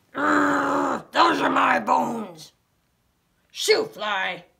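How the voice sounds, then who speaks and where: A man growls in a raspy, put-on character voice. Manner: growling.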